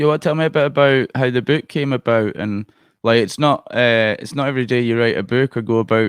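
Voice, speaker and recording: Someone with a Scottish accent talks at a fairly quick pace in a dry, close recording with no echo and a quiet background. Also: man. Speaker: podcast host. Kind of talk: casual interview.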